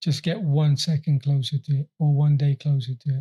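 In a dry, close sound with no echo, a man speaks at a fairly high pitch and moderate pace with a dark, mellow tone that is somewhat breathy. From Afghanistan, then Gloucester from age 12. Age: 20s. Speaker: professional boxer. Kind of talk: interview, personal life story. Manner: halting, with fillers and repetitions.

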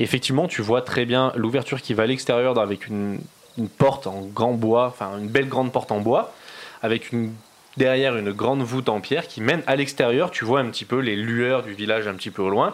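Noticeable background noise accompanies a man speaking at a medium pitch with ordinary pitch variation. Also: fairly quick pace. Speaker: game master of a tabletop role-playing game, podcast host. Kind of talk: casual chat, running a role-playing game. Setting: late-night home recording with friends around a table.

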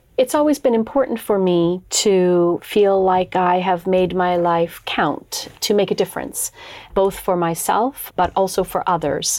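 In a plain, everyday voice, a woman with a Canadian accent speaks at a fairly slow pace and a medium pitch. Her loudness stays very even, with ordinary pitch variation. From Canada, Toronto. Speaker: company founder and board member. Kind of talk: interview.

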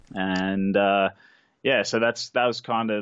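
A man with an Australian accent speaks in a flat monotone. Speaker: sports betting trader. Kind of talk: interview.

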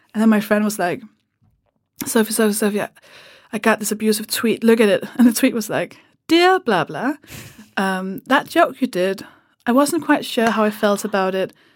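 A woman's fairly high voice with a Danish accent, lively intonation, and long, frequent pauses. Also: moderate pace, very clean recording, silent background. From Denmark. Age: 30s. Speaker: comedian. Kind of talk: casual chat. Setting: studio.

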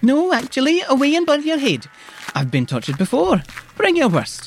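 A put-on character voice comes through at a moderate pace. Its pitch swings are very wide.

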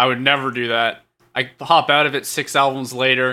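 A man with a medium pitch talks at a moderate pace. Music plays in the background. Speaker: comedy podcast co-host. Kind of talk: improvised comedy chat.

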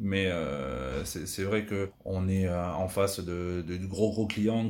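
A man speaks in a fairly low pitch with fairly even intonation. Audible room echo surrounds his voice. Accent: slight Tarn. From southern France, Tarn. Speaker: retired basketball player. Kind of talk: interview. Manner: halting.

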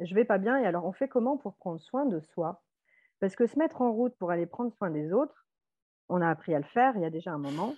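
Her pitch swings very widely around a medium level for a woman as she talks at a fairly quick pace. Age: 40s. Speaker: nurse. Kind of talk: testimony.

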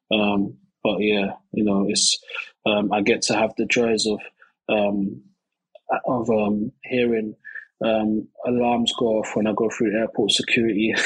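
Speaking in a London accent, a man has a fairly low pitch and a monotone, flat intonation with very even loudness. His pace is fairly slow, with long, frequent pauses. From East London. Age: 30s. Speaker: rapper and youth worker. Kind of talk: interview. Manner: halting, many fillers.

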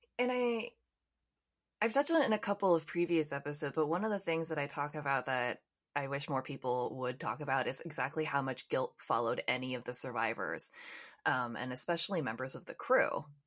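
Over a silent background in a very clean recording, a woman with a very deep, low voice speaks fairly quickly with lively intonation. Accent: American. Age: 30s. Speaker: podcast host. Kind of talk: interview; podcast outro.

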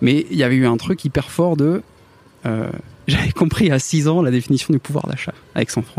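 A man at a fairly high pitch, with ordinary pitch variation, a moderate pace and long, frequent pauses, in a dry, close sound with no echo. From northern France, Picardy. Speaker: tech employee who made a fortune from shares. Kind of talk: interview. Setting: café terrace.

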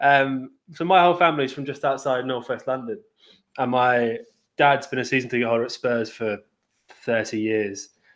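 A man with an English accent and medium pitch, with long, frequent pauses. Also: ordinary pitch variation, moderate pace. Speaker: football fan guest. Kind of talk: casual chat.

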